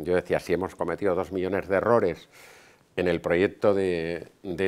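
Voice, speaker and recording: With a very deep, low pitch, the man talks at a moderate pace and ordinary pitch variation. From Spain. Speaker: hotel business owner; guest. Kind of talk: lecture. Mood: relaxed, storytelling. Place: hall. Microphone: podium.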